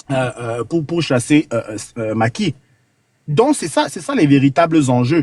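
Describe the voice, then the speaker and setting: The delivery is fairly slow with lively intonation, and the sound is dry and close with no echo. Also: man. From Cameroon. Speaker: caller on a live panel. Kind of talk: political commentary on a call-in panel. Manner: hesitant, many fillers and repetitions.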